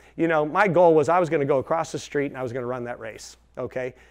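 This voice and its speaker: A man talks at a very fast pace in a fairly high voice, with an animated tone and ordinary pitch variation. The background is quiet. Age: 60s. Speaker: chiropractor. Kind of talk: talk to business audience.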